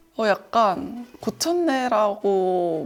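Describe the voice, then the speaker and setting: A woman talks while music plays behind her. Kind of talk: group interview answer.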